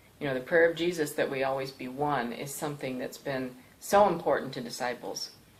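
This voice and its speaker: Against noticeable background noise, a woman speaks at a very deep, low pitch with ordinary pitch variation and big swings in loudness. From Thailand (Bangkok), American missionary family. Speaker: pastor. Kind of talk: testimony. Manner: hesitant with fillers.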